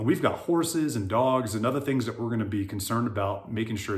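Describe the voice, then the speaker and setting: Amid audible room echo, a man with an American accent talks at a fairly quick pace in a somewhat breathy voice with ordinary pitch variation. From US South, South Florida. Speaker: real estate agent, retired military. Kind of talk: casual video monologue.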